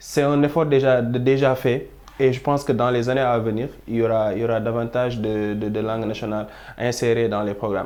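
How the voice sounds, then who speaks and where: A man speaks at a fairly quick pace with medium pitch and fairly even intonation. Audible room echo surrounds his voice. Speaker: youth panel guest. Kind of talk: panel discussion. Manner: halting, frequent repetitions.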